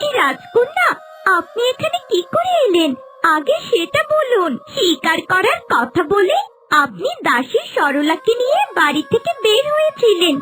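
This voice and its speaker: In a cartoonish character voice, someone talks at a fairly slow pace with an extremely high pitch and very wide pitch swings, over clear background noise. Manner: concerned, respectful.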